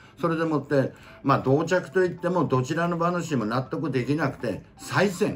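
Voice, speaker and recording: Music can be heard in the background. Over it, a man talks. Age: 70s. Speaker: senior YouTuber. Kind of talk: storytelling about horse racing history.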